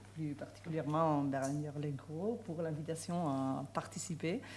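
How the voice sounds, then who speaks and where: Speaking at a very slow pace, a woman with a very deep, low voice is heard amid noticeable background noise and audible room echo. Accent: Spanish. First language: Spanish (speaking French). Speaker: law professor. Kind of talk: conference talk. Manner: halting, many hesitations.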